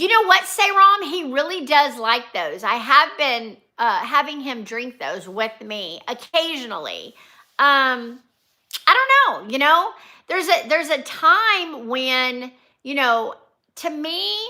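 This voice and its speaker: A woman speaks in a high, bright, sharp voice that is raised and projected, with very wide swings in pitch. Her loudness rises and falls sharply, and her pace is very slow. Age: 60s. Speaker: nurse and vlogger. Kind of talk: casual livestream chat. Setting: live stream from home.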